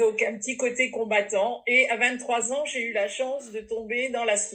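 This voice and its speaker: Over noticeable background noise, a woman speaks at a moderate pace with a fairly high pitch and a monotone, flat intonation. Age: 60s. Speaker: network marketing distributor. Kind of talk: testimony.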